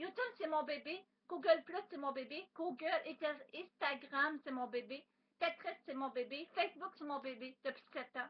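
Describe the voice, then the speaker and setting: High pitch from a woman, her pitch moving with ordinary variation. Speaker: vlogger. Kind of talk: webcam monologue. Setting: webcam at home. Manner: fast; loud.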